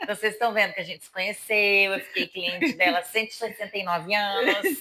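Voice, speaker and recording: Her delivery is very fast, with ordinary pitch variation from this woman. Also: medium pitch for a woman. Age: 40s. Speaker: micropigmentation artist. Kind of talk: casual interview chat.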